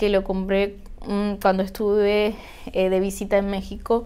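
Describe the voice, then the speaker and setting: This woman's voice is fairly high in pitch. She talks at a fairly slow pace. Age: 30s. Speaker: witchcraft YouTuber and author; spiritual practice vlogger. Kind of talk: tutorial. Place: home room.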